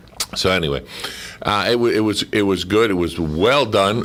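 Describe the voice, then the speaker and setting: Amid noticeable background noise, a man with a very deep, low pitch and ordinary pitch variation speaks at a fairly slow pace. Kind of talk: casual radio interview, recounting memories of a radio drama series.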